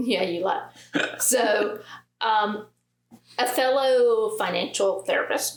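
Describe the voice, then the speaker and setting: Speaking at a very slow pace with long, frequent pauses, a woman with a strong Southern US accent talks at a fairly high pitch with ordinary pitch variation. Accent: thick Southern. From US South, Alabama. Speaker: financial therapist. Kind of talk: casual chat.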